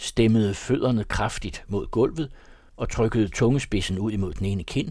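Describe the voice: Reading aloud, plainly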